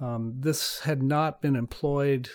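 Captured on a very clean recording with a silent background, a man with an American accent uses an unremarkable speaking voice with ordinary pitch variation. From US West Coast (California). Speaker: climate scientist, professor. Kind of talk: interview, explanatory.

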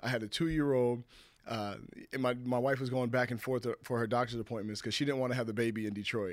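In a very clean recording with a silent background, a man with an American accent speaks at a very fast pace. His pitch is medium, with fairly even intonation. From US West Coast (California and Washington). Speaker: former pro football player. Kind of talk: casual interview chat.

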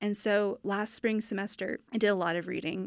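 A woman speaks at a medium pitch and moderate pace with fairly even intonation in a normal speaking voice, recorded very clean with a silent background and a dry, close sound with no echo. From Northern California. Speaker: artist and art graduate student. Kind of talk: interview.

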